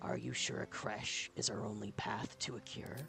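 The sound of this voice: Putting on a character voice, a man speaks at a fairly low pitch and a moderate pace against clear background noise.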